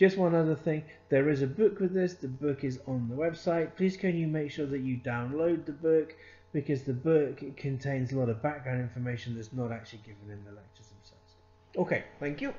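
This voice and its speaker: Fairly quick and somewhat breathy, this man talks in a fairly high voice. His pitch varies in an ordinary way. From Scotland. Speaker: accounting consultant and lecturer. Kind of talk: lecture. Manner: conversational, with frequent hesitations.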